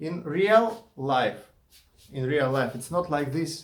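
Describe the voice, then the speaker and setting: In a room with audible echo, a man with a Russian accent talks at a very slow pace. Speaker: YouTuber and indie game developer. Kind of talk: casual vlog monologue. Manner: halting, with many fillers and restarts.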